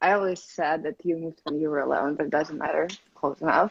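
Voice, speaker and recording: The speaker is a woman with a Russian accent. Her tone is bright and sharp. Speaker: video blogger. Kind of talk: casual interview.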